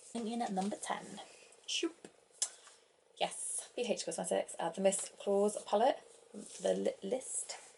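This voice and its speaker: Soft-spoken and fairly slow, a woman talks with long, frequent pauses. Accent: British. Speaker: beauty vlogger. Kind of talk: product review vlog. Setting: at home, kids asleep in another room. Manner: casual, meandering.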